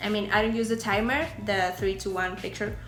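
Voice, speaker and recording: Over background music and audible room echo, a woman with a Spanish accent speaks in a fairly high voice with ordinary pitch variation. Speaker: beauty and lifestyle YouTuber. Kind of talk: tutorial. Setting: outdoors. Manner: soft-spoken outdoors.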